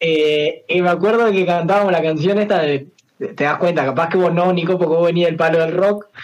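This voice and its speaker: Speaking with a Uruguayan accent, a man keeps a high pitch, fairly even intonation and very even loudness. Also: fairly quick pace. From Uruguay, San José. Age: 20s. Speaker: singer and streamer. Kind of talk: casual chat.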